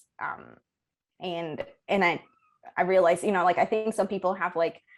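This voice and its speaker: Speaking at a moderate pace, a woman holds a medium pitch in a monotone, flat delivery. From Colombia, Bogota. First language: Spanish. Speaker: ecology professor. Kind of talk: interview. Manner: many filler words and restarts.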